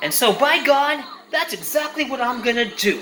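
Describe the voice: Audible room echo surrounds a man speaking at a moderate pace. His pitch is extremely high, with big swings and a bright, sharp tone.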